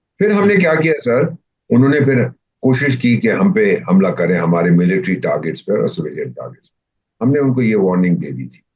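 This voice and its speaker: A man speaks with a medium pitch and vocal fry. His pitch swings very widely. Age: 70s. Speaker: retired diplomat. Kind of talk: interview. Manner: animated.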